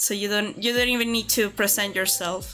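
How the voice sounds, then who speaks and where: A woman with a Spanish accent and a fairly high pitch keeps her intonation fairly even while music plays in the background. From Venezuela. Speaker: artist and animator streamer. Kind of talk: casual chat. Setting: live stream. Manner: halting, many fillers.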